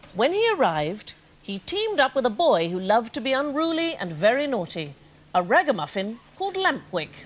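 A woman's fairly high voice with big pitch swings. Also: moderate pace.

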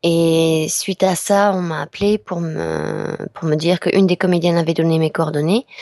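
A woman's fairly low, dark, mellow voice with monotone, flat intonation. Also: moderate pace, dry, close sound with no echo. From southwest France. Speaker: voice actress. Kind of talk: interview. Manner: hesitant, many fillers.

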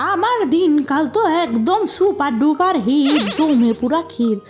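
A woman performs a cartoonish character voice over clear music in the background. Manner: lively, friendly.

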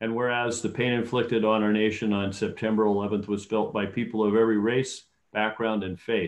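Over a quiet background, a man speaks at a moderate pace with monotone, flat intonation. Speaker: council member or mayor. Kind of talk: formal proclamation reading. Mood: solemn, measured. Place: home room. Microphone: video call.

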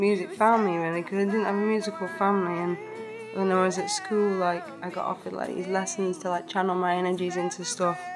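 Over clear music in the background, a woman with a medium-pitched voice and a Lancashire accent speaks at a fairly quick pace in a monotone, flat intonation. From Blackpool, England. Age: 20s. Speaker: singer-songwriter. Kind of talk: interview answer. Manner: casual, hesitant. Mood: relaxed, reflective. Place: hall.

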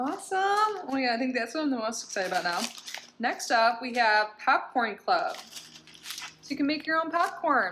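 Her voice sits at a high pitch, moving at a moderate pace. Light background noise runs behind this woman. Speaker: product unboxing vlogger. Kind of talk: casual vlog chat. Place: home room. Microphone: phone near.

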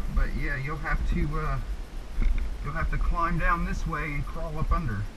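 A man keeps a moderate pace while background noise is clearly audible. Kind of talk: casual instruction to children. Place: tunnel cave. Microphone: helmet.

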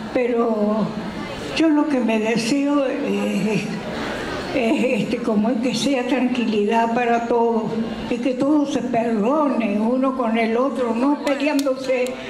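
A woman speaks at a very slow pace with a high pitch and fairly even intonation. Noticeable background noise runs behind her. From Argentina. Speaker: elderly guest being interviewed. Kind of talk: interview answer. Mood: earnest, wistful. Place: hall. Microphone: handheld.

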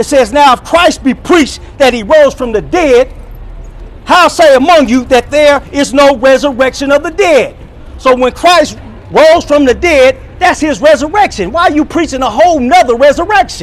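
Pitch varies in an ordinary way while the words come at a moderate speed. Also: man, extremely high pitch for a man. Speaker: online preacher reacting to another preacher. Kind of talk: sermon-style commentary. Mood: argumentative, rebutting. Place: street. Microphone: phone near.

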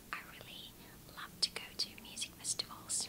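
A soft-spoken woman is whispering. Loud background noise surrounds her. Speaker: vlogger. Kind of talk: casual vlog chat. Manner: soft smiling ASMR whisper. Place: home room. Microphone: webcam.

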